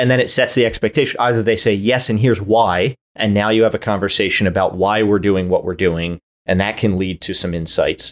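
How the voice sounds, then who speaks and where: This man has a fairly low pitch and an ordinary speaking voice, talking at a fairly quick pace. The recording is very clean, with a silent background. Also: fairly even intonation. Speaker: podcast co-host. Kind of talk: casual chat.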